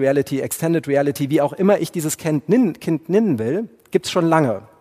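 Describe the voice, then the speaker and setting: A man with a fairly high pitch, a dark, mellow tone, lively intonation and a fairly quick pace. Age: 40s. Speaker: podcast host and tech speaker. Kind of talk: keynote talk. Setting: stage with audience.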